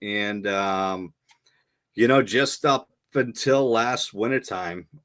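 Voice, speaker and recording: This man talks with a Boston accent. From Boston area, Massachusetts. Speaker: Marine veteran and podcaster. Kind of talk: casual interview chat.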